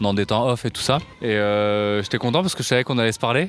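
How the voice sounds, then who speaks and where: The speech goes at a very fast pace. Noticeable background noise runs underneath. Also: man. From France, Paris. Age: 30s. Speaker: public digital services worker. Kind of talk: casual chat.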